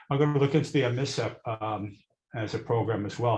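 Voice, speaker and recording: This man's voice is somewhat breathy. He keeps up a fairly quick pace. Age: 70s. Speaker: audience member, retiree. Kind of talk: audience comment. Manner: halting, many fillers.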